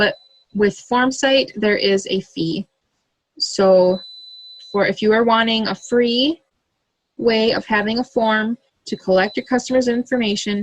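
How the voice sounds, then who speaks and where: A woman with a fairly high, somewhat breathy voice talks at a fairly slow pace with ordinary pitch variation and long, frequent pauses, in a dry, close sound with no echo. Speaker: direct sales consultant. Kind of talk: tutorial. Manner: casual, with fillers.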